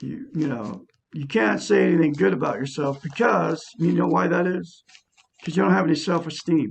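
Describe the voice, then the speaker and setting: A man's fairly high voice with vocal fry, very wide pitch swings and a moderate pace. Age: 60s. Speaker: self-help YouTuber. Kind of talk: self-help talk to camera.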